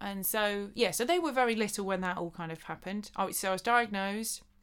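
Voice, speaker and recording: On a very clean recording with a silent background, a woman with a medium pitch talks at a fairly quick pace with ordinary pitch variation. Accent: southern English. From Buckinghamshire, England. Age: 30s. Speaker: dancer and choreographer. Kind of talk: casual chat.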